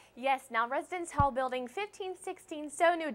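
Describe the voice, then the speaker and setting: A raised, projected voice with a bright, sharp tone, very wide pitch swings and a fairly quick pace. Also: woman. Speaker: student news reporter and anchor. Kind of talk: TV news field report.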